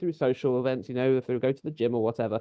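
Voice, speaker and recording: Very fast speech from a man with a British accent and a medium pitch. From London, England. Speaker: community leader. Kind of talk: webinar talk. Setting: video webinar. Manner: conversational, some hesitations.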